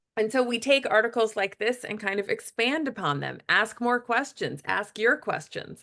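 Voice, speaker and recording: Speaking with an American accent, a woman has a fairly high pitch, a bright, sharp tone and vocal fry. Her delivery is animated and fairly slow, with ordinary pitch variation. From California. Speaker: event host. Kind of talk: live webinar hosting.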